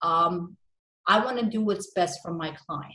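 A woman speaks with fairly even intonation. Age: 30s. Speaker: business and tax advisor, podcast host. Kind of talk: interview; conversational interview talk. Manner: halting, many fillers. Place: home room. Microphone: video call.

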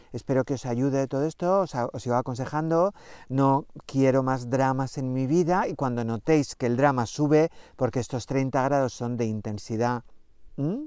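A man's dark, mellow voice at medium pitch, with a dry sound with no echo and a quiet background. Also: ordinary pitch variation, moderate pace. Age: 50s. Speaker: astrology coach. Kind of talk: spiritual astrology talk to camera. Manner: animated, chatty. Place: open country. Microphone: lapel.

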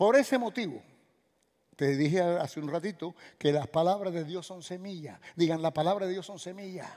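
A man speaks at a moderate pace with a Cuban accent, a high pitch, and a dark, mellow tone. His pitch varies in an ordinary way against a quiet background. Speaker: pastor. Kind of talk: sermon. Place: church. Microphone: headset.

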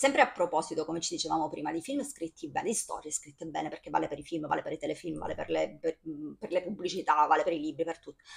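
A woman speaks against a quiet background. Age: 40s. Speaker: video blogger / film commentator; video blogger, film commentator. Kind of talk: casual monologue to camera about a film. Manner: animated, enthusiastic. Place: home room. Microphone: phone near.

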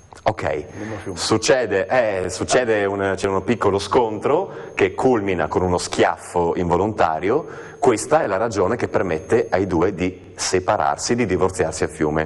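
The speaker is a man with a fairly low pitch. He talks at a fairly slow pace with ordinary pitch variation. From Trieste, Italy. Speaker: stage actor. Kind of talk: TV interview answer. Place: studio. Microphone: lapel.

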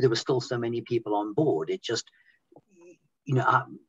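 A man speaks in a somewhat breathy voice against a quiet background. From Zimbabwe. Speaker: former cruise ship musician. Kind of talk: interview answer. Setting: video call. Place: home room.

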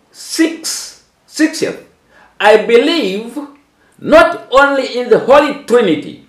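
A man speaks at an extremely high pitch with lively intonation, very slowly and with long, frequent pauses. Room echo is audible against a quiet background. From Tanzania. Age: 70s. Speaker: bishop and ministry leader; church minister. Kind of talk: interpreted religious teaching. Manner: halting. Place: home room. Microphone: camera far.

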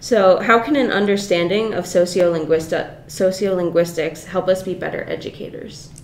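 A woman talks at a moderate pace with ordinary pitch variation and hardly any pauses. Light background noise and audible room echo are present. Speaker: graduate student interviewer; student interviewer. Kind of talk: interview. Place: meeting room. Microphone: camera far.

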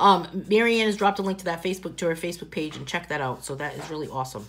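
A woman with a Boston accent talks at a very fast pace with lively intonation. Light background noise is present. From New England, US. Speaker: coloring book artist and tutor; tutor. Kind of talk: live coloring tutorial with viewer chat. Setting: live video stream at home, dogs in background. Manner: chatty, warm and informal. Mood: cheerful, joking. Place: home room. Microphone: phone near.

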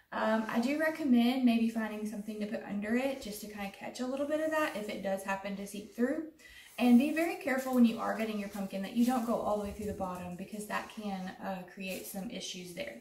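A woman talks very fast with hardly any pauses, her loudness swinging widely. Her pitch varies in an ordinary way, and room echo is audible. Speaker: extension agent demonstrating crafts. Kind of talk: tutorial. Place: home room.

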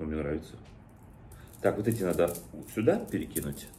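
With light background noise, a man speaks in a very deep, low voice that is somewhat breathy, with a dark, mellow tone. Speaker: vlogger. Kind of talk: casual vlog chat, unboxing. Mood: amused, relaxed. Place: kitchen. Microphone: phone near.

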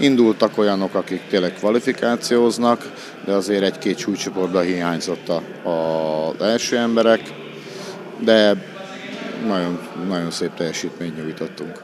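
This man's fairly low voice has ordinary pitch variation and long, frequent pauses, with noticeable background noise behind him. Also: moderate pace. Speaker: judo coach. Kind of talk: interview. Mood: calm, pleased. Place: gym. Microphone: handheld.

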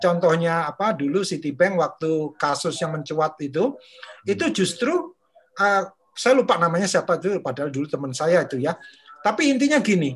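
At a moderate pace, a high-voiced man talks with lively intonation. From Indonesia, Madiun, East Java; East Java, Indonesia. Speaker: discussion group moderator. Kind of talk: online book discussion. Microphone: webcam.

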